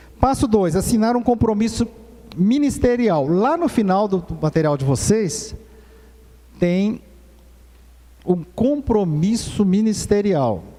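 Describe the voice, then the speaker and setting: With noticeable background noise, a man speaks very slowly at a high pitch, his intonation lively and his pauses long and frequent. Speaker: presbyter teaching a church course. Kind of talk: church course lecture.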